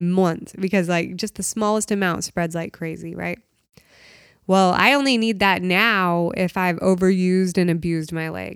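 With an American accent, a woman talks at a moderate pace in a normal speaking voice of medium pitch, her intonation fairly even. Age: 30s. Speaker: CBD shop owner. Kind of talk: casual interview chat.

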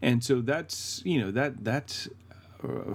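Here a man speaks at a fairly slow pace and a medium pitch. His pitch variation is ordinary. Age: 30s. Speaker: podcast co-host. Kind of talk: casual chat. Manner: halting.

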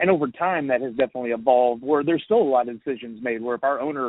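The speaker talks with an American accent. The pace is very fast, with ordinary pitch variation. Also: man. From US South. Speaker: toy company marketing manager. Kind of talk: casual interview. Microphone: recorded over phone app, poor quality.

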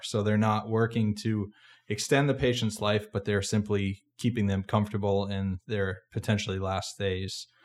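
In a very clean recording with a silent background, a man with a normal speaking voice and an American accent talks at a moderate pace, a fairly low pitch, and fairly even intonation. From Massachusetts. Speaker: podcast host, medical student. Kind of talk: interview.

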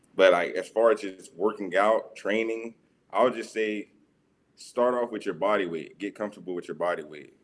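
A man with an American accent uses a normal speaking voice, ordinary pitch variation and a moderate pace. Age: 20s. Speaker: fitness trainer and college student. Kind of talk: casual chat.

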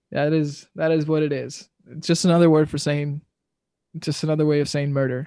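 A man talks at a fairly quick pace with a fairly high pitch and a dark, mellow tone. His intonation is monotone and flat, and the recording is very clean with a silent background. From Dominican Republic. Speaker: podcast host. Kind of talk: casual discussion.

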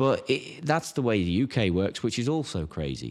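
A man with an English accent is heard in a very clean recording with a silent background. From England. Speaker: golf equipment marketer and YouTuber, former pro golfer. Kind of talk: casual interview chat. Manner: animated.

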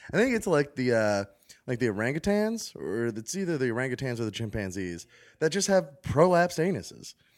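A man's medium-pitched voice with a slight Baltimore accent, very wide pitch swings and a fairly quick pace. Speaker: podcast host. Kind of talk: casual chat. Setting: studio.

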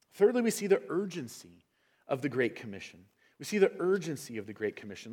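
A man speaks with vocal fry and very wide pitch swings on a very clean recording with a silent background. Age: 40s. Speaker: pastor. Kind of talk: sermon.

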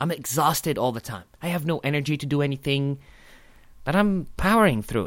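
A man with an Arabic accent at a moderate pace and lively intonation, in a very clean recording over a silent background. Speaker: podcast host, stand-up comedian. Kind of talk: casual chat.

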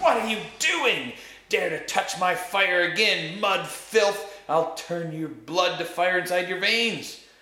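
A put-on character voice speaks at a fairly slow pace and a middle pitch. A slight echo surrounds it. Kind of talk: harsh, different from her earlier sweet tone. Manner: loud and terrible, threatening.

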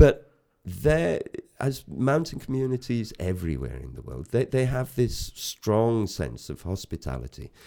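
A man's fairly low, dark and mellow voice in a north Welsh accent, fairly slow, with very wide pitch swings and big swings in loudness. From north Wales. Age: 50s. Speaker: photographer. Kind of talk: interview.

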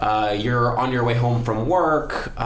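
A man's medium-pitched voice comes through noticeable background noise. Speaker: tech entrepreneur. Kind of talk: casual chat. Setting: studio.

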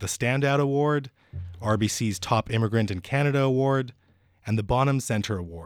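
A man talks fairly quickly in an unremarkable speaking voice with ordinary pitch variation, captured on a very clean recording against a silent background. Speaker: podcast host. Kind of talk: interview.

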